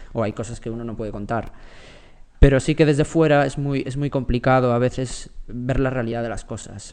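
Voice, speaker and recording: Using a normal speaking voice, a man talks at a medium pitch and a moderate pace. His intonation is fairly even, though his loudness swings widely. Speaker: former tech journalist turned venture investor. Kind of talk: interview.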